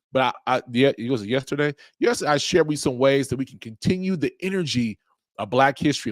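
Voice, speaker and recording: Recorded very cleanly against a silent background, with a dry, close sound and no echo, a man talks fairly quickly at medium pitch with lively intonation. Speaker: podcast host. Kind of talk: casual solo talk to audience. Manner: fast.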